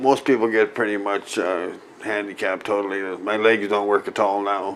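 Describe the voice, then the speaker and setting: In a Canadian prairie accent, a man speaks with a fairly low pitch and monotone, flat intonation. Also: moderate pace. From Saskatchewan, Canada. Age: 60s. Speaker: MS patient, medical cannabis grower. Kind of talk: interview. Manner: hesitant, with filler words.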